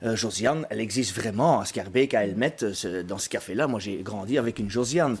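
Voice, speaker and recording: With noticeable background noise behind him, a man at medium pitch talks at a fairly quick pace with hardly any pauses and ordinary pitch variation. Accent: strong Brussels. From Brussels, Belgium. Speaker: actor and playwright. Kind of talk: interview.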